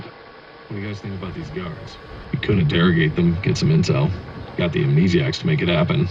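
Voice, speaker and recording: Raspy and very deep in pitch, a man does a put-on character voice at a fairly quick pace with lively intonation and big swings in loudness, over clear background noise. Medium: short film. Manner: casual, joking.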